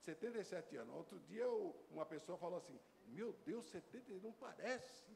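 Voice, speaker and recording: The man has a high-pitched voice with lively intonation. He speaks at a moderate pace. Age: 70s. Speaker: visiting pastor. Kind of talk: church greeting testimony. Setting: church.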